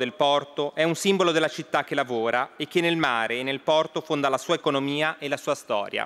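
This man's voice sits fairly high in pitch and shows ordinary pitch variation. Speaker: member of parliament. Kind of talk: parliamentary oratory, solemn speech; parliamentary speech. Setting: parliament chamber. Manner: solemn, formal. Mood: grave, solemn. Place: hall. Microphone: podium.

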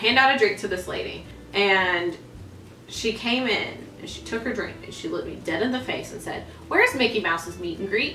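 A woman talks at a fairly quick pace. The recording has audible room echo and light background noise. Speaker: theme park performer and dancer. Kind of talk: casual talk to camera. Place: home room. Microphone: camera far.

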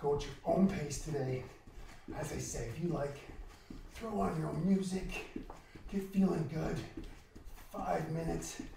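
Through audible room echo and noticeable background noise, a man can be heard speaking. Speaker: fitness instructor. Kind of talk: workout coaching. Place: home room.

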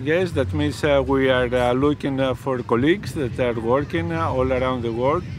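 With noticeable background noise but a dry sound with no echo, a man speaks at a medium pitch and a fairly slow pace. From Greece. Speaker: professor and medical researcher; professor. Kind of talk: interview. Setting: outdoors. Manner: halting, many fillers. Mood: relaxed, explanatory. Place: beach. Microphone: phone near.

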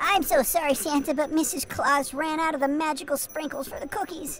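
A put-on character voice at a high pitch speaks at a fairly quick pace over clear background noise. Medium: role play. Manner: hesitant, apologetic.

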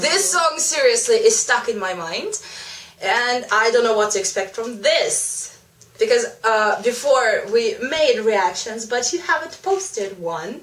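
A loud woman's voice, fairly bright and fairly high, with lively intonation at a fairly slow pace amid audible room echo

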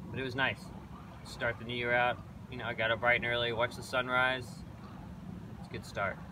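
The recording has a dry sound with no echo, along with noticeable background noise. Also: man. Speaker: boat owner vlogger. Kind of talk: casual vlog chat. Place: boat.

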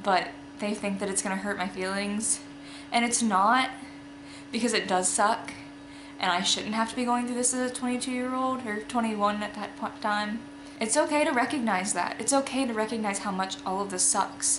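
Noticeable background noise sits under a woman who talks at a moderate pace, her pitch varying in an ordinary way. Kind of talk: casual vlog chat. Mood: candid, reflective, matter-of-fact. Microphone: phone near.

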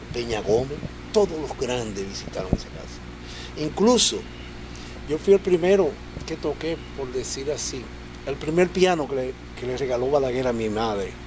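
A man talks at a moderate pace, leaving long, frequent pauses. Noticeable background noise runs behind him. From Dominican Republic, Los Minas, Santo Domingo; Dominican Republic. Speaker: merengue musician and composer; guest. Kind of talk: interview. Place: studio. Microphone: studio mic.

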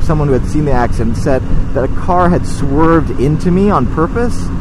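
Noticeable background noise sits under a man speaking at a fairly quick pace with a fairly high pitch. The sound is dry with no echo, and his pitch varies in an ordinary way. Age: 30s. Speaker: motorcycle vlogger. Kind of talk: casual storytelling monologue. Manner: hesitant, many fillers. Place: motorbike. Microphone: helmet.

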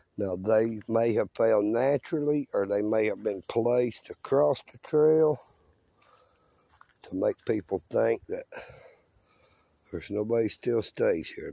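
A dark, mellow tone with vocal fry comes at a fairly slow pace. Pitch varies an ordinary amount, and the sound is dry and close with no echo. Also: man.

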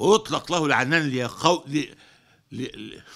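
Against a quiet background, the voice has a bright, sharp tone. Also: man. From Egypt. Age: 80s+. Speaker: head of a lawyers' association. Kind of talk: public statement. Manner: formal; halting. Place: office. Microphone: studio mic.

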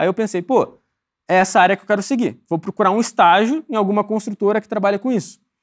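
Very fast speech comes from a man with a high pitch and ordinary pitch variation. The recording is very clean, with a silent background. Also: dry, close sound with no echo. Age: 20s. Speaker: civil engineer and home builder. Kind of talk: casual chat.

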